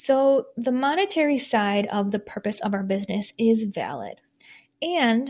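Somewhat breathy and fairly high-pitched, a woman with an American accent speaks with ordinary pitch variation in a very clean recording with a silent background. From Michigan, US Midwest. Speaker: podcast host, small business coach. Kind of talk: solo podcast monologue.

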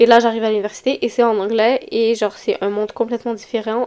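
This woman has a Quebec accent. Her pitch is fairly high. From Quebec, Montreal. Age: young. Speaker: podcast host. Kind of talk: casual solo podcast talk. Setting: home recording at computer mic. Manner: hesitant, many fillers.

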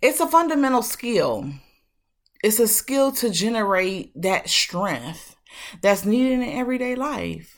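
A woman with a warm tone speaks at a fairly slow pace, using very wide pitch swings and long, frequent pauses in a very clean recording with a silent background. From Detroit, Michigan. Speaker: podcast host. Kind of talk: motivational monologue. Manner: casual, warm.

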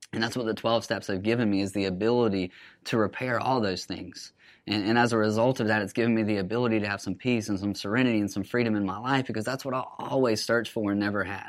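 A fairly low-voiced man with an Alabama accent, very fast and fairly even in intonation, on a very clean recording with a silent background. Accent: Southern US (Alabama). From US South, Alabama (Huntsville). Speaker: recovering addict sharing his story. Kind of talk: personal testimony.

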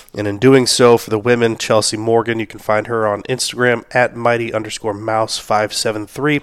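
The speech comes at a fairly quick pace with monotone, flat intonation, over noticeable background noise. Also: man, medium pitch for a man. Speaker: strongman podcast host. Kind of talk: solo podcast recap. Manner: casual, frequent filler words.

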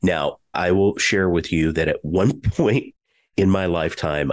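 Pitch moves with ordinary variation in this man's speech. The sound is dry and close, without any echo. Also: quiet background. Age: 60s. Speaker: podcast host. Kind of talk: interview, business podcast.

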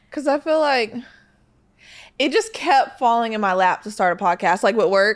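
A woman speaks with lively intonation and an animated tone at a fairly high pitch, keeping a moderate pace broken by long, frequent pauses, in a very clean recording with a silent background. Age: 20s. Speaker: podcast co-host. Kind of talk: casual chat.

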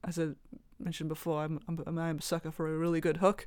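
In a Welsh accent, a woman with a fairly low pitch talks at a very fast pace on a very clean recording with a silent background. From Wales. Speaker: fingerstyle guitarist. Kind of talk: roundtable discussion. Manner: halting, many fillers.

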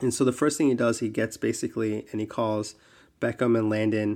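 A man with an American accent talks at a fairly quick pace in a fairly low, monotone voice with flat intonation. The recording is very clean, with a silent background. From New Jersey. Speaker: podcast co-host, soccer league expert. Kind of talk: casual chat.

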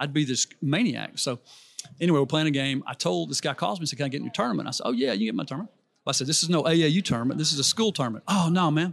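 The words come very fast. They carry a Southern US accent. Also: man, fairly high pitch for a man, lively intonation. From Alabama, US South (Birmingham). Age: 60s. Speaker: businessman and youth coaching ministry leader. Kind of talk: casual interview chat. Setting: live at a conference booth.

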